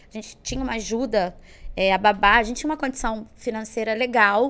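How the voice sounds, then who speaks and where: This woman has an unremarkable speaking voice. Her pitch sits fairly high. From Belo Horizonte, Minas Gerais, Brazil; moved to Rio at 11. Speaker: entrepreneur and sales mentor. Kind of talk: casual interview.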